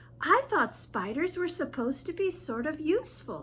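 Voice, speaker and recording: In a put-on character voice, the speaker uses a high pitch with very wide pitch swings at a moderate pace. Background noise is clearly heard. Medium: read story.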